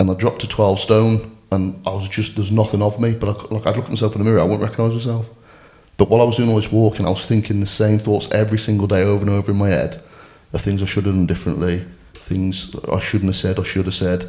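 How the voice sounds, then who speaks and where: A man with a West Midlands accent, fairly low in pitch and somewhat breathy, with a dark, mellow tone, flat monotone intonation and a very fast pace. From Shropshire, England. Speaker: amateur rugby player. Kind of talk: personal testimony in casual interview.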